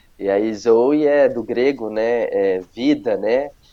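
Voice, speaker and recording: A man's voice, dark and mellow in tone, with fairly even intonation. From Brazil, Paraíba then Ribeirão Preto (São Paulo). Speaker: pastor. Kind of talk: testimony interview.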